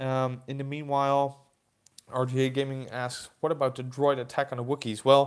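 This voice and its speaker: The recording is very clean, the background silent. A man with a Dutch accent talks at medium pitch and a moderate pace. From Netherlands. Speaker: toy collector YouTuber. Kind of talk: live stream chat. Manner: hesitant, many fillers.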